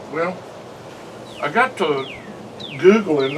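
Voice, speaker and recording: Over noticeable background noise, a man with a Southern US accent speaks at a very slow pace with ordinary pitch variation. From US South. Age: 60s. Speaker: pipe smoker vlogger. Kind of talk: casual chat.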